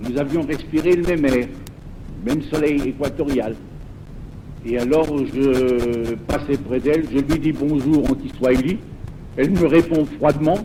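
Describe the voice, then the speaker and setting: Music in the background behind a man speaking at a fairly slow pace, with long, frequent pauses and ordinary pitch variation. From France, Lorraine. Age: 70s. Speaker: former priest turned pastor. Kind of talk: testimony. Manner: halting.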